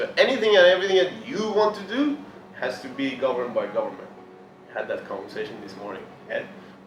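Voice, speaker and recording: A very fast-talking man, loudness swinging widely, with audible room echo and noticeable background noise. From Iran. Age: 20s. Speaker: motivational speaker and fitness coach. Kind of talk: motivational presentation. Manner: passionate, intense.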